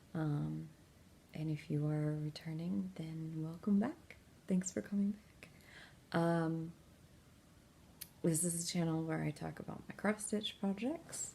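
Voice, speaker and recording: A quiet, somewhat breathy woman with a dark, mellow tone and fairly low pitch talks at a fairly slow pace, with ordinary pitch variation and long, frequent pauses. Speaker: crafting video host. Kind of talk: casual vlog. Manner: quiet, kept low; hesitant, many fillers.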